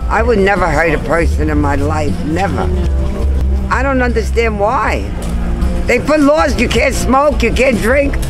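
A woman's speech broken by long, frequent pauses, with clear music in the background. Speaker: elderly tenant fighting eviction. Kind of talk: interview answer. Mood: aggrieved, indignant. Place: street.

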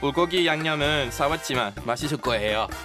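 A man's fairly high voice with lively intonation, music playing in the background. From England. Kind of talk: scripted radio segment.

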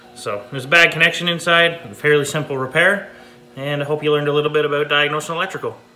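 A man talks at a very fast pace. His intonation stays fairly even. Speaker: hobby tractor restorer. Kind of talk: tutorial. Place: garage. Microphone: phone near.

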